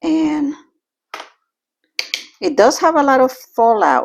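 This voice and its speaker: This woman talks at a fairly slow pace. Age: 50s. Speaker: makeup vlogger. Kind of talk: casual makeup tutorial to camera.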